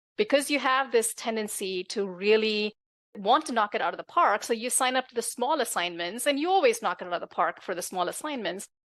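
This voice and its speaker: With a non-native accent, a woman talks at a fairly quick pace in a fairly high voice with lively intonation, the sound dry and close with no echo. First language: not English. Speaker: tech executive and author. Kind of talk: interview conversation.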